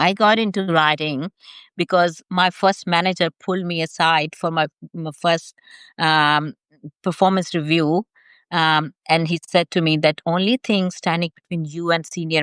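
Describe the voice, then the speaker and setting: A woman with a non-native accent and a fairly low pitch speaks at a moderate pace with fairly even intonation, in a dry, close sound with no echo and a quiet background. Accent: non-native, audible. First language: not English. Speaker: nonfiction and fiction author, chat host. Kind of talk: casual live chat interview. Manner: halting, many fillers.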